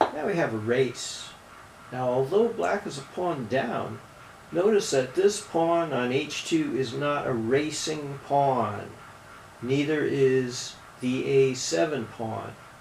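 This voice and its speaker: Amid noticeable background noise and audible room echo, the speaker talks very slowly with lively intonation. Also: man, fairly high pitch for a man. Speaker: chess commentator and coach. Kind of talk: chess game analysis commentary.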